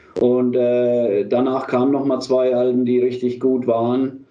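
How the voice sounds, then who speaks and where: A man at medium pitch, at a fairly slow pace, with audible room echo. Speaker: metal band singer and leader. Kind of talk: casual interview. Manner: halting.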